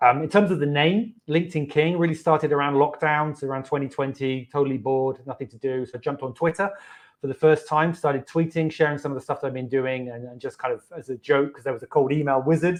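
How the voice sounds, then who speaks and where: A man with a British accent talks at a very fast pace with hardly any pauses, his fairly high voice holding fairly even intonation amid big swings in loudness. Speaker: marketing agency owner. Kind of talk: interview. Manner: halting.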